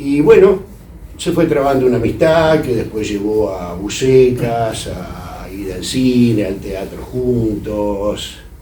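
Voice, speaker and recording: Noticeable background noise and audible room echo surround a man at a medium pitch who speaks very slowly with lively intonation. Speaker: literary critic. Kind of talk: speech at a tribute event. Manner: hesitant, many fillers.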